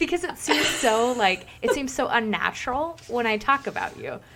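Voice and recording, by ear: A woman with a Minnesotan accent, high-pitched and lively in intonation, at a moderate pace over noticeable background noise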